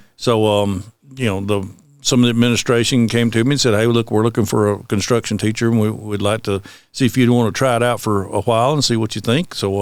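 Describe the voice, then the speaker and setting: Very rapid delivery in a Southern US accent, on a very clean recording with a silent background. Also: man. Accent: Southern US (Georgia). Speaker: high school construction teacher. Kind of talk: interview. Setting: school. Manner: halting, many fillers.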